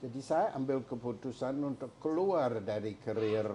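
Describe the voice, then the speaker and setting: A man's medium-pitched voice with an English accent. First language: English (speaking Indonesian). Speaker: historian and academic. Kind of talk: interview. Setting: at his home. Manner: halting.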